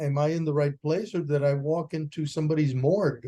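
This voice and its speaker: The voice has a dark, mellow tone and a Spanish accent. It moves at a fairly quick pace. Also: man. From Puerto Rico. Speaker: educator and author. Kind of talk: radio interview. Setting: video call.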